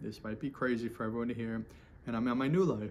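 The voice keeps fairly even intonation against light background noise. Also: man. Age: 40s. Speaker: vlogger sharing recovery story. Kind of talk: personal monologue. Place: home room. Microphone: phone near.

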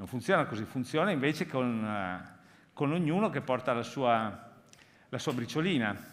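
Moderate pace, lively intonation throughout. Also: man, medium pitch for a man. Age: 50s. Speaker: foundation president, keynote speaker; keynote speaker. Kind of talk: conference keynote talk. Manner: halting. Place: hall. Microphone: headset.

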